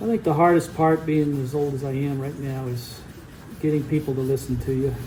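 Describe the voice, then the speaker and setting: Against noticeable background noise, a man talks at a fairly high pitch with fairly even intonation. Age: 70s. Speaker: guitar builder. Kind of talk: casual workshop vlog. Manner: halting.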